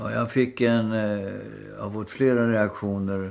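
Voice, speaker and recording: Very slow delivery with fairly even intonation. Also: man. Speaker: podcast co-host. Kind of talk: casual chat. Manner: halting.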